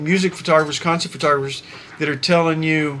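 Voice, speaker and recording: There is noticeable background noise as a man speaks. His voice is fairly high for a man, with fairly even intonation. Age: 60s. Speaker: concert photographer and YouTuber. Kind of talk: casual vlog monologue. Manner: halting, many fillers.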